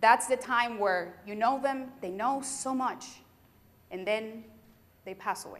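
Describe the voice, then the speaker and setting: This woman has a strong Puerto Rican accent and a high pitch. She talks at a moderate pace. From Puerto Rico. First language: Spanish. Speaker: sheriff's deputy and keynote speaker. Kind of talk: keynote speech. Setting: university convocation with audience. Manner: animated.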